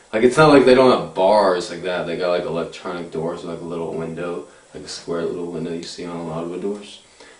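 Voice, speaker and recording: Room echo can be heard in the recording. The man's pace is fairly quick. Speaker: vlogger. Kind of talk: casual vlog chat. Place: home room. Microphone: camera far.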